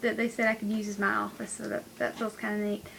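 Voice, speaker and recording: A woman's voice over noticeable background noise. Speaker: vlogger, college student. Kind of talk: casual vlog.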